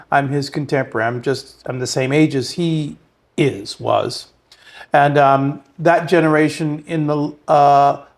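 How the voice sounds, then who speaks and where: A man speaks at a fairly slow pace with a fairly high pitch. His intonation stays fairly even. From New York City. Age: 60s. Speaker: artist. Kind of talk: interview. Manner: halting.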